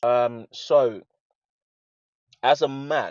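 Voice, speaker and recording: Intonation stays fairly even in a dry, close sound with no echo. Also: man. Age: 30s. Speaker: personal trainer. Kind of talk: street interview.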